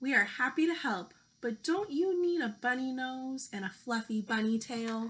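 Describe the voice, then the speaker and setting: This woman puts on a character voice pitched high. She keeps a moderate pace. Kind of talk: children's read-aloud. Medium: read story.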